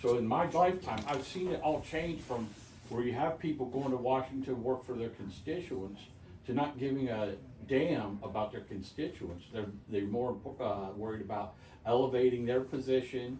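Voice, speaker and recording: Medium-pitched man with ordinary pitch variation, with audible room echo and noticeable background noise. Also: moderate pace. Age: 60s. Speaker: local party member. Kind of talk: casual political discussion. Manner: animated.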